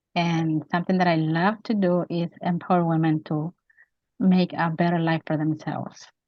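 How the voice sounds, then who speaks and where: Her voice is pitched fairly low. The woman's intonation stays monotone and flat. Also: moderate pace. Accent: Spanish. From Mexico. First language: Spanish. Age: 50s. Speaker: author and women's advocate. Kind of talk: interview.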